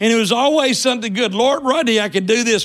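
A high-pitched man with lively intonation. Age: 60s. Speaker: church elder preaching. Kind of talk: sermon. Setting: church.

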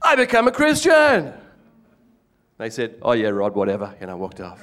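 Animated in tone, a man with an Australian accent speaks with big swings in loudness. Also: moderate pace. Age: middle-aged. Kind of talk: testimony.

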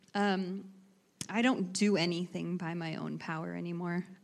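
A woman with an ordinary speaking voice talks at a fairly slow pace with a fairly low pitch. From Idaho, US. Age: 30s. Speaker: church member giving testimony. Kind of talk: testimony interview. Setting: church stage with congregation.

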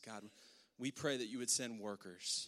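An unremarkable speaking voice from a man, medium in pitch, at a moderate pace, with a dry, close sound and no echo. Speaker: worship leader. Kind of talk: church announcements and prayer. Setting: church.

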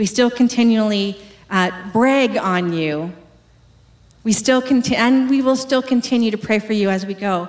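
A woman with a Canadian accent, fairly high pitch and ordinary pitch variation, at a moderate pace with long, frequent pauses, over noticeable background noise. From Western Canada. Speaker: pastor. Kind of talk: sermon.

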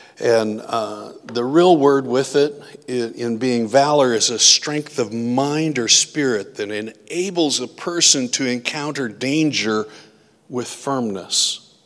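A man with an American accent at a very slow pace, ordinary pitch variation, and noticeable background noise. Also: medium pitch for a man. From US Midwest (Iowa). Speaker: pastor. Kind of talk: sermon.

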